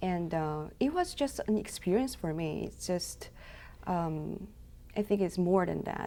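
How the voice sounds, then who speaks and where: A fairly slow delivery in a Korean accent. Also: woman. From South Korea. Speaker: intern. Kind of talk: interview. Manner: halting.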